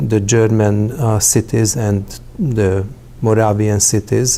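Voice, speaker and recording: Against noticeable background noise, a man with a Hungarian accent speaks at a fairly slow pace in a fairly low pitch with monotone, flat intonation. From Hungary. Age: 60s. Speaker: interviewee telling life story. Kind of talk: personal testimony. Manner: halting, with frequent fillers.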